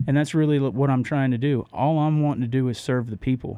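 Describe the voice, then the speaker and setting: Talking at a fairly quick pace with medium pitch and fairly even intonation, a man with an American accent has an unremarkable speaking voice. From Florida, Orlando. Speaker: political candidate. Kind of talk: radio interview. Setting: radio studio.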